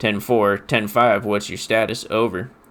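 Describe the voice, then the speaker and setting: A man in a put-on character voice with monotone, flat intonation. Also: fairly low pitch for a man, moderate pace. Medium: actual play. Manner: clipped, procedural.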